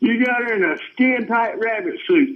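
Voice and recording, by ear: A man with an extremely high pitch talks at a moderate pace with lively intonation, and audible room echo surrounds him.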